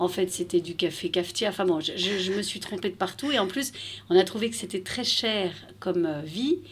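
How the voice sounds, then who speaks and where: A woman with a normal speaking voice, medium pitch and ordinary pitch variation at a moderate pace. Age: 40s. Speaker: expat mother. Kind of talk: interview.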